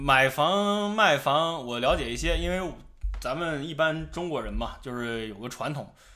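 A man speaks at a moderate pace in a bright, sharp tone, with audible room echo around him. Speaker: podcast host. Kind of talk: casual chat.

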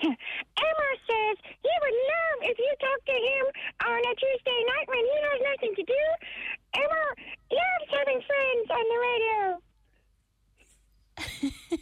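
A put-on character voice, squeaky and extremely high-pitched, at a fairly slow pace with long, frequent pauses

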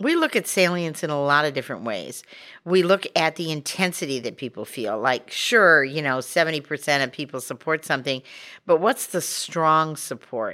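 A woman speaks with an American accent at a moderate pace. Her pitch is very deep and low, with a bright, sharp tone. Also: lively intonation, very clean recording, silent background. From Montana. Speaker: pollster. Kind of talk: interview.

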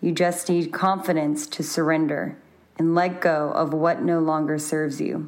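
A woman speaks at a fairly low pitch and a moderate pace, her intonation monotone and flat. Audible room echo surrounds her voice. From Louisiana, Baton Rouge. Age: 20s. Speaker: landscape architect. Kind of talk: recorded personal testimony.

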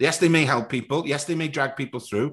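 A man with a Cardiff accent speaks in an animated, passionate tone. His pitch variation is ordinary. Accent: Cardiff Welsh. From Wales, Cardiff (Ely council estate). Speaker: former footballer and club executive, bidder for a club. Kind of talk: casual interview.

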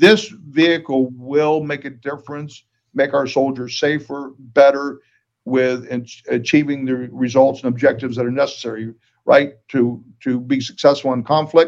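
This man talks at a moderate pace with fairly even intonation. His pitch sits at a medium level. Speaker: retired law enforcement officer and defense industry executive. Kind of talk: interview. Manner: halting.

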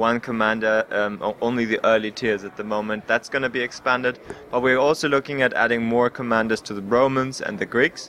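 With a plain, everyday voice, a man talks at a fairly quick pace and medium pitch, with fairly even intonation and hardly any pauses. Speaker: game developer. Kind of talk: interview.

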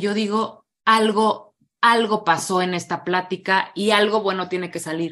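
Fairly slow speech from a woman, medium in pitch. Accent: Mexican. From Mexico, Morelia. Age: 30s. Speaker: recovering alcoholic and addiction speaker. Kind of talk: testimony.

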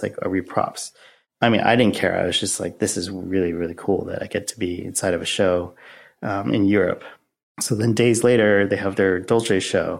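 At a moderate pace, an unremarkable speaking voice is heard in a very clean recording with a silent background. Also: man. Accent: Canadian. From Canada (Oakville, Ontario). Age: 30s. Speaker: street style photographer and fashion designer. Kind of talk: casual interview chat.

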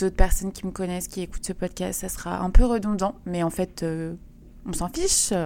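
This woman's voice sits at a medium pitch, with a dark, mellow tone and ordinary pitch variation. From western France (Vendée). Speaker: podcaster. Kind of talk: casual monologue. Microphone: new microphone.

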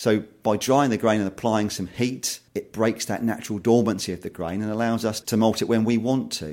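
In an ordinary speaking voice, the speaker goes at a fairly quick pace on a very clean recording with a silent background. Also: man. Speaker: maltster. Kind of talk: interview about malting.

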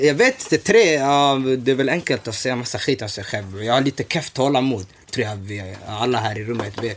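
Speech runs at a moderate pace with hardly any pauses and ordinary pitch variation. Noticeable background noise sits behind it. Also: man, medium pitch for a man. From Somalia (north), moved to Sweden as a child. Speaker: podcast host. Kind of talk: casual chat. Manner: animated.

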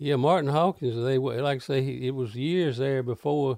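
A man with a Mississippi accent. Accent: Mississippi Southern drawl. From US South, Carroll County, Mississippi. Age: 80s+. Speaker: rockabilly and country singer, band leader. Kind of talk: casual interview, reminiscing.

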